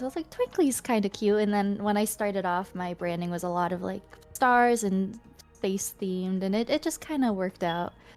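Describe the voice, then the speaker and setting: With music in the background, a speaker with a Canadian accent talks at a fairly quick pace in a calm tone. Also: woman. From Canada, Ontario. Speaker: streamer. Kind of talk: casual chat. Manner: mellow, calm.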